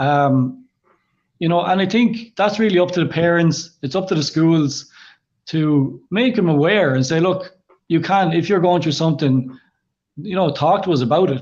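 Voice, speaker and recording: A man with a high voice keeps to a moderate pace, his pitch varying in an ordinary way. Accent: Irish. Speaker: kidney patient, clothing brand founder. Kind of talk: interview.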